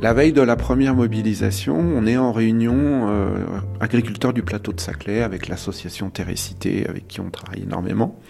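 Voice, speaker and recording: A man speaks at a moderate pace in a fairly low pitch with ordinary pitch variation, music playing in the background. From Île-de-France. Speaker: farmer. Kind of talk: testimony. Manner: halting.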